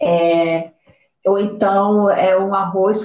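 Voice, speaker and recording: Her pitch sits at medium for a woman, and the intonation stays fairly even. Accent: Pará. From Brazil, Belém, Pará. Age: 30s. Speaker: podcast co-host. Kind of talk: casual chat.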